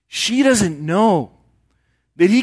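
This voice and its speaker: Over a quiet background, a man speaks high for a man, with very wide pitch swings. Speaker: preacher. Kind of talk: sermon. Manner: conversational, asks audience questions.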